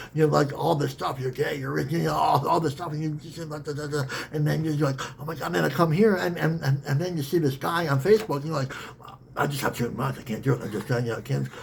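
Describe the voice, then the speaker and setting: The speaker's animated tone comes at a very fast pace with ordinary pitch variation and noticeable background noise. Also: man, fairly high pitch for a man. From Saskatchewan, Canada (First Nations). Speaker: spiritual teacher and author. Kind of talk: teaching talk in a meditation circle. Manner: repetitive, animated.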